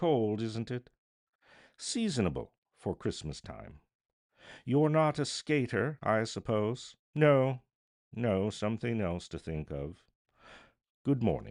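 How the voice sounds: Using a put-on character voice with a fairly low pitch and slightly mellow tone, a man speaks slowly, leaving long, frequent pauses and making big pitch swings. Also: very clean recording, silent background.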